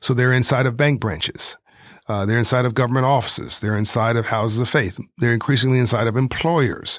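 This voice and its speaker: In an unremarkable speaking voice, a medium-pitched man with an American accent talks at a fairly quick pace, with fairly even intonation and very even loudness, in a very clean recording with a silent background. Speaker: entrepreneur and philanthropist. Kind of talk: interview. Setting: in France.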